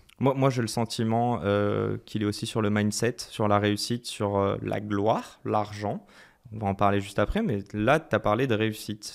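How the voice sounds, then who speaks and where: This man's pitch is fairly low. The recording is very clean, with a silent background. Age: 30s. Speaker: podcast host. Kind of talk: casual interview. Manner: energetic.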